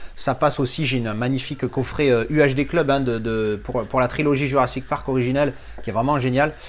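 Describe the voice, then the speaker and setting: With clear background noise, a man talks at a medium pitch that rises and falls in a typical way. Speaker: film collector YouTuber. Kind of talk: unboxing review. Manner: fast; casual, hesitant fillers.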